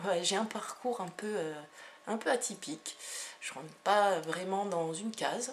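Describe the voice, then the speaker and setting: A woman with a medium-pitched voice talks fairly slowly. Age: 30s. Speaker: energy healer and hypnotherapist. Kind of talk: self-presentation video monologue. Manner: hesitant, many fillers.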